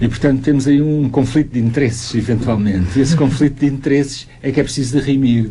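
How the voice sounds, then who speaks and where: The speaker talks at a very fast pace with fairly even intonation over noticeable background noise. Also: man, medium pitch for a man, hardly any pauses, very even loudness. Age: 60s. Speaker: youth association expert. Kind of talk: radio interview.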